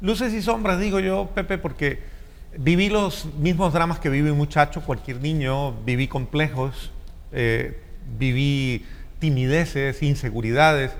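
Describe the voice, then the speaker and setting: Lively intonation at a fairly slow pace in a Colombian accent, with audible room echo. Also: man, fairly high pitch for a man. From Colombia, Cali. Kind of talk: interview. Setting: church.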